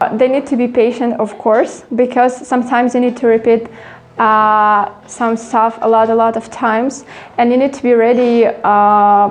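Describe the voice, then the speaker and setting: Her pitch fairly high, a woman talks at a moderate pace with monotone, flat intonation. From Ukraine. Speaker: art teacher. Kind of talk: interview. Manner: hesitant, many fillers.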